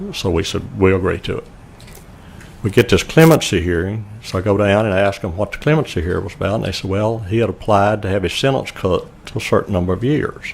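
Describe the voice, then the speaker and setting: Speaking at a fairly quick pace, a man with a Louisiana accent has a fairly low pitch. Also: ordinary pitch variation. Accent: Louisiana Southern US. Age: 70s. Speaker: murder victim's family member. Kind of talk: testimony.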